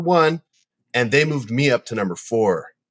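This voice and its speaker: The voice belongs to a man and is an unremarkable speaking voice. Pitch variation is ordinary. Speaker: jiu-jitsu athlete and podcast co-host. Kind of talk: casual chat.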